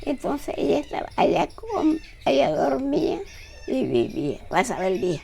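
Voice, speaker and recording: A woman's fairly slow speech comes through over noticeable background noise. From Colombia, Simití, Bolívar (Caribbean region). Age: 80s+. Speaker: retired nurse. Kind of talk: oral history interview.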